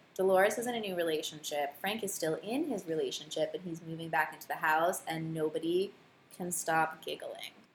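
A somewhat breathy woman's voice in an American accent, at a fairly quick pace with ordinary pitch variation. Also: fairly low pitch for a woman. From northern New Jersey (Morristown). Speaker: podcast co-host, social scientist. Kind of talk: casual chat.

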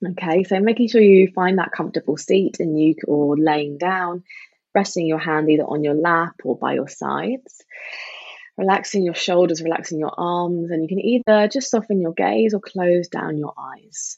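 Here is a woman with a London accent and a fairly low pitch. She keeps a moderate pace with ordinary pitch variation. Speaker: meditation teacher. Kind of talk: casual interview chat; guided meditation.

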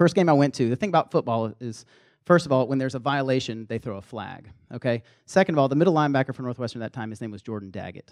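Lively intonation and big swings in loudness mark a man talking at a very fast pace with a medium pitch and a slight Southern US accent. The sound is dry and close, with no echo. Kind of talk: sermon-style talk to students. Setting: live in front of a room audience. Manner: casual, conversational.

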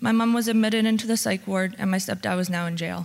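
A woman speaks at a fairly quick pace with a Canadian accent, her medium-pitched voice somewhat breathy and her intonation fairly even. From Oshawa and Lindsay, Ontario, Canada. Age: 20s. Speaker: recovery program participant. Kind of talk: testimony. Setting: church.

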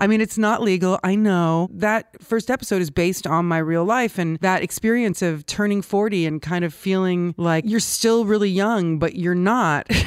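A woman with a normal speaking voice talks at a moderate pace and medium pitch, with ordinary pitch variation, hardly any pauses and very even loudness. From US West Coast, Los Angeles. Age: 40s. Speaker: filmmaker and director. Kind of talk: casual interview. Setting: studio.

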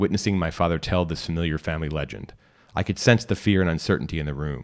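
A man uses a dramatic tone in a very deep, low voice with vocal fry and ordinary pitch variation, in a very clean recording with a silent background. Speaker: podcast reader and narrator. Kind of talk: literary audiobook reading, scripted fiction narration. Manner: measured, formal, dramatic storyteller's cadence.

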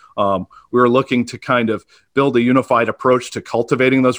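A man with an American accent speaks at a medium pitch in a monotone, flat way. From Maine, US. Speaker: denominational leadership coordinator. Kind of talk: interview. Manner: halting, many fillers and repeats.

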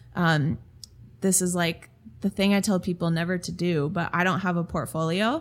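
A woman with an American accent speaks in an unremarkable speaking voice, fairly low in pitch with ordinary pitch variation. Her pace is moderate and the recording is very clean, with a silent background. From Minnesota. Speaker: creative studio owner and designer. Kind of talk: interview conversation.

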